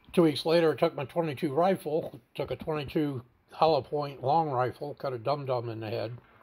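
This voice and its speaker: A fairly high-pitched, somewhat breathy man at a fairly quick pace, with ordinary pitch variation. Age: 70s. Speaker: veteran suicide-prevention advocate and video blogger. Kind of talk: personal testimony monologue.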